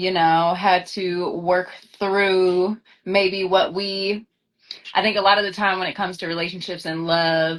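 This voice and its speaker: A woman speaks with an American accent at a medium pitch. Her pace is fairly slow and her intonation monotone and flat. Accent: slight twang, taken for Southern. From Sacramento, California. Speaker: actress. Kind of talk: casual live-stream interview. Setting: Instagram live video call.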